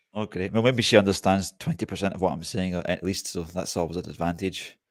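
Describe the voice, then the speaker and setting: A man with a Scottish accent and a very deep, low voice, very fast pace, ordinary pitch variation, and a very clean recording with a silent background. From Scotland. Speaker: bushcraft YouTuber and software developer. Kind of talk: casual interview chat. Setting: live stream.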